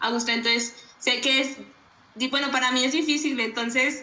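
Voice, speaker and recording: A woman's moderately paced speech, with ordinary pitch variation, carries audible room echo and noticeable background noise. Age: 20s. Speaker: podcast co-host. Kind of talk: casual interview.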